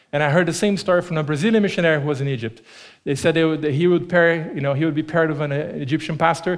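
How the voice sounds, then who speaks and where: A man talks very fast at a fairly high pitch in a Portuguese accent. His intonation is fairly even. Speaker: preacher. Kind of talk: sermon. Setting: church.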